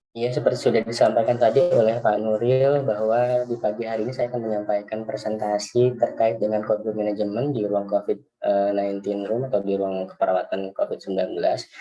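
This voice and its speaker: A man with a medium pitch and fairly even intonation speaks very fast. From West Java, Bekasi Regency. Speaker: nurse. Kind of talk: webinar presentation. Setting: video call. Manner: hesitant, many fillers.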